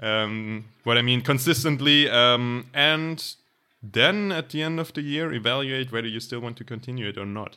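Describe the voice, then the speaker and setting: A man speaks with a German accent. His pitch sits in the medium range. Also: ordinary pitch variation, moderate pace. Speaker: podcast co-host. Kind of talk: casual chat.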